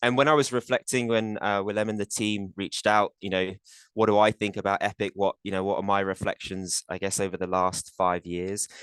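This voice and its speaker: A man with a British accent talks at a fairly quick pace in a fairly low voice, with fairly even intonation over a quiet background. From UK. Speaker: corporate compensation executive. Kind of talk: webinar panel talk. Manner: hesitant, many fillers and repeats.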